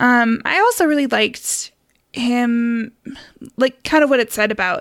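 A woman's ordinary speaking voice at a fairly high pitch and fairly slow pace, with ordinary pitch variation. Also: very clean recording, silent background. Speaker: podcast host. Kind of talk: casual podcast chat, folklore storytelling. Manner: conversational, chatty, laughs often.

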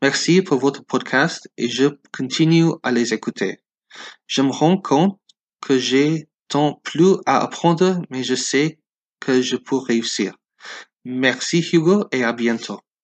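In an English accent, a man with a fairly high voice and ordinary pitch variation speaks very slowly with long, frequent pauses, the sound dry and close with no echo against a quiet background. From US West Coast, Los Angeles. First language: English (speaking French). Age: 20s. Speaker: listener. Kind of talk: recorded listener message.

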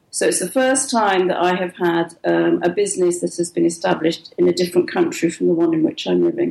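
A woman with an English accent talks at a fairly quick pace. There is noticeable background noise. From England. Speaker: writer and publisher. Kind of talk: interview.

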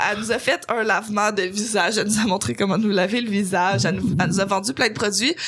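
With a Quebec accent, a woman at medium pitch talks at a very fast pace with hardly any pauses, very even loudness, ordinary pitch variation and an animated tone, over noticeable background noise. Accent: Québécois French. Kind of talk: casual chat.

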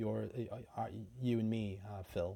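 A man with a Canadian accent speaks at a moderate pace in a dark, mellow tone. The recording is very clean, with a silent background. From Canada. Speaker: independent filmmaker and podcast co-host. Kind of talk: casual conversational chat.

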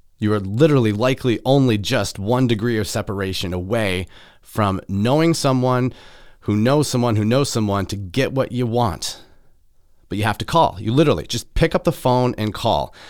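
In a Midwestern accent, a man with a medium pitch and ordinary pitch variation talks at a moderate pace in an animated tone, on a very clean recording with a silent background. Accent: general American, Midwestern. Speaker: podcast host. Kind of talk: solo podcast monologue, casual. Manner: casual, animated.

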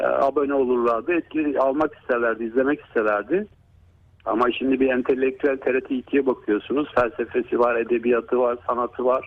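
A man speaks at medium pitch and a moderate pace with fairly even intonation and very even loudness. His is an ordinary speaking voice. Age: 50s. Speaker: neurologist. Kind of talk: radio interview. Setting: phone call.

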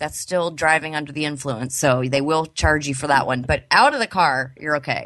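With a Southern California accent, a woman speaks at a moderate pace in a very deep, low pitch and a bright, sharp tone. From Los Angeles, San Fernando Valley. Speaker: podcast host, cannabis entrepreneur. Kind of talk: casual interview. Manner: animated.

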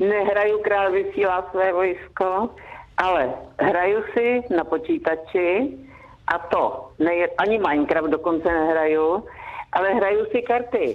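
Against noticeable background noise, a woman with a medium pitch speaks fairly slowly, her intonation lively and her loudness very even. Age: 70s. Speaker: grandmother, radio guest. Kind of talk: phone interview. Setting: phone call.

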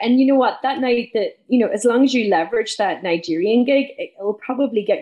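With an Irish accent, a woman is talking. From northwest Ireland. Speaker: business mentor and speaker. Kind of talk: casual interview.

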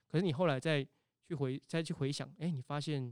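In a very clean recording with a silent background, a man with a Taiwanese accent talks at a fairly high pitch with fairly even intonation. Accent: Taiwanese Mandarin. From Taiwan, Tainan. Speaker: temple festival culture practitioner. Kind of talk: casual interview.

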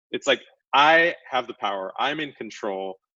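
A man with an American accent has a bright, sharp tone with vocal fry. He talks at a moderate pace, the sound dry and close with no echo. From Pasadena, California. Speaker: product designer and founder. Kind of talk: interview.

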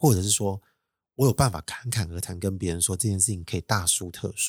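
A man with a Taiwanese accent speaks at a fairly quick pace in a somewhat breathy voice, with ordinary pitch variation. The sound is dry and close, with no echo. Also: very clean recording, silent background. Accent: Taiwanese Mandarin. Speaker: solo podcast host. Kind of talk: casual monologue.

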